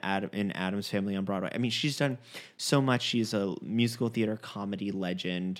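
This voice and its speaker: On a very clean recording with a silent background, a man with an American accent speaks at a fairly quick pace with ordinary pitch variation. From Long Island and Fort Lauderdale. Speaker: theater performer and producer. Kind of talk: casual chat.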